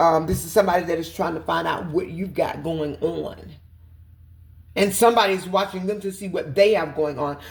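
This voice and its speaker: A woman with a medium pitch sounds somewhat breathy. She talks at a fairly quick pace with lively intonation. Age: 50s. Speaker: tarot reader. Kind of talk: tarot reading. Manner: fast.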